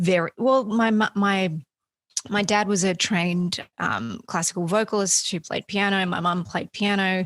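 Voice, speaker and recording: In an Australian accent, a woman speaks at medium pitch and a moderate pace with fairly even intonation, the sound dry and close with no echo. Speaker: singer-songwriter. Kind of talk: interview.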